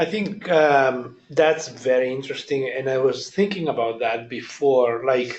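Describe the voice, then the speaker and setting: Talking at a fairly slow pace, a man barely pauses and shows ordinary pitch variation. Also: medium pitch for a man. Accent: strong Italian. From Italy. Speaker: audience member at a staff talk. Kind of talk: group discussion.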